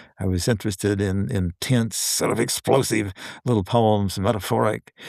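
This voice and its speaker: A man with an Appalachian accent, fairly low in pitch with fairly even intonation, on a very clean recording with a silent background and a dry, close sound with no echo. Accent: Southern Appalachian American. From Western North Carolina, USA. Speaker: novelist and poet. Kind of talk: podcast interview answer.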